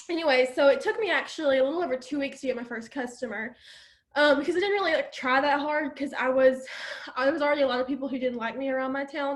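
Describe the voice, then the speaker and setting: With an Alabama accent, a woman talks at a very fast pace. Her pitch is high, with ordinary variation. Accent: Southern US (Alabama). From US South, Alabama. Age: 20s. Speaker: network marketer. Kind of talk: testimony. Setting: video call. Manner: casual, filler-heavy.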